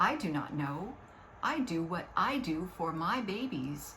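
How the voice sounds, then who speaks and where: A put-on character voice at middle pitch and a fairly slow pace, over clear background noise. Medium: read story. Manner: gentle, warm.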